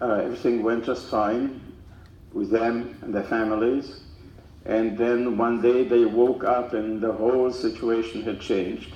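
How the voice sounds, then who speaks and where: The pace is fairly slow and the intonation monotone and flat. A dark, mellow tone rings with audible room echo. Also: man, medium pitch for a man. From Czechoslovakia. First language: German/Czech. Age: 90s. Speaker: Holocaust survivor speaker. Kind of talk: testimony to school students. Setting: school assembly with audience. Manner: halting, many fillers.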